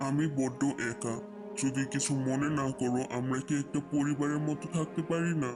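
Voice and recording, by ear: With loud music in the background, a man in a cartoonish character voice speaks at a moderate pace and a fairly high pitch.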